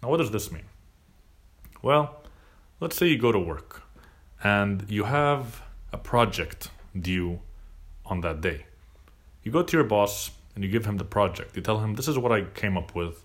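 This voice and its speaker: A man talks at a moderate pace and fairly low pitch, with lively intonation. Long, frequent pauses break his speech amid audible room echo. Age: 20s. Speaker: podcast host. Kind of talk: solo monologue. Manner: casual, hesitant with fillers.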